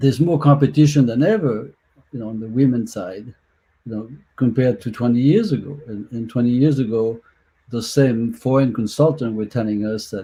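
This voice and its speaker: A man with a French accent speaks at a moderate pace, medium pitch and ordinary pitch variation. His voice is dark, mellow and somewhat breathy, with big swings in loudness. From France. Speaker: soccer executive. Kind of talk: panel discussion.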